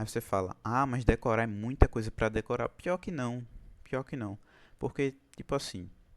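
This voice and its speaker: A man at medium pitch talks at a moderate pace with long, frequent pauses and ordinary pitch variation, the sound dry and close with no echo. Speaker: chemistry tutor. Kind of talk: online class. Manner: casual.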